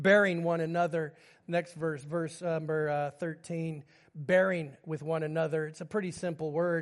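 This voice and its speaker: A man's fairly high voice at a moderate pace, a plain, everyday voice with fairly even intonation. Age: 50s. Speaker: pastor. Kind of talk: sermon. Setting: church.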